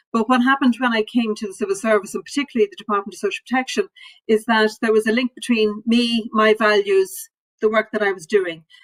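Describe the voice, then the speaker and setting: A woman with an Irish accent speaks very fast at a fairly high pitch, with ordinary pitch variation. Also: dry, close sound with no echo. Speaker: civil servant. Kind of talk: panel discussion.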